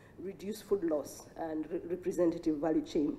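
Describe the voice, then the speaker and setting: A dark, mellow tone comes through at a moderate pace with ordinary pitch variation and audible room echo. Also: woman. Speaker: foundation associate director. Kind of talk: conference speech. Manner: many filler words.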